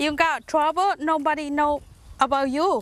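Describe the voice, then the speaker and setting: Someone with a Southeast Asian accent speaks at a fairly slow pace. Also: woman. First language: Hmong. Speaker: farmer. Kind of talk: interview. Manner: halting.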